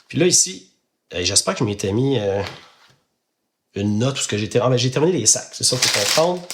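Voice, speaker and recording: With long, frequent pauses, a man talks at a medium pitch using lively intonation. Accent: Quebec. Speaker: podcaster. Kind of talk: casual chat while building Lego. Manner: hesitant, many filler sounds.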